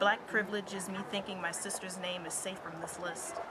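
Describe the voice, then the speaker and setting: A woman talks in an intense tone at a medium pitch. Crowd noise fills the background. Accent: American. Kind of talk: spoken word poetry performance. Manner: intense, rhythmic, emphatic.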